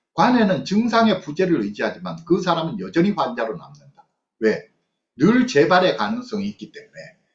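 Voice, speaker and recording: Over faint music in the background and audible room echo, a man talks at a fairly quick pace with very wide pitch swings and big swings in loudness. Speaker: psychologist lecturer. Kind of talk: online lecture with book reading. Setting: video call. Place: home room. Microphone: webcam.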